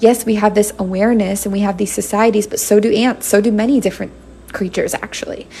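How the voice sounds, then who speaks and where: Over noticeable background noise, a woman talks in a flat, monotone way. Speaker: tarot reader. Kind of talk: live-stream tarot reading. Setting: live stream.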